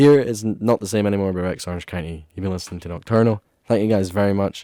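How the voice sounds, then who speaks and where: Very fast male speech in an Ayrshire accent, very deep and low, dark and mellow, with fairly even intonation, on a very clean recording with a silent background. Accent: Scottish, Ayrshire. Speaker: student radio host. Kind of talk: radio show sign-off. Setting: radio studio. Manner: casual, filler-heavy.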